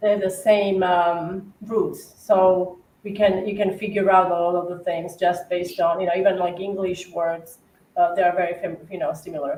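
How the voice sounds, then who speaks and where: Speaking at a moderate pace with an Eastern European accent, a woman has a dark, mellow tone, a medium pitch and monotone, flat intonation. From Slovakia. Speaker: cookie decorator. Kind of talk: casual chat with live decorating demo. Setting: livestream.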